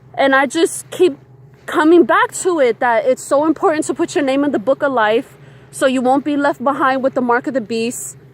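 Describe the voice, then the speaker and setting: With noticeable background noise behind her, a woman with a high pitch speaks at a moderate pace with ordinary pitch variation, and the sound is dry and close with no echo. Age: 30s. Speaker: spiritual vlogger. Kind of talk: casual vlog monologue. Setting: outdoors at the beach.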